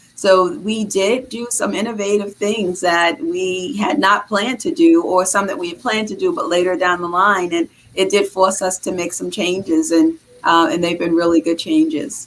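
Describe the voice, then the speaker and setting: With a Boston accent, a woman talks at a moderate pace with very wide pitch swings and hardly any pauses. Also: medium pitch for a woman. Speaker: health care executive. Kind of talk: interview.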